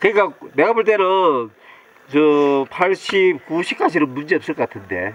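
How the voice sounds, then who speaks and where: A man with a high pitch and lively intonation speaks at a fairly slow pace. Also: dry, close sound with no echo. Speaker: interviewer. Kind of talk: casual interview questions.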